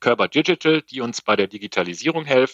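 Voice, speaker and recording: A man's unremarkable speaking voice, medium in pitch, with lively intonation. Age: 50s. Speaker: logistics software sales executive. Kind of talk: podcast interview.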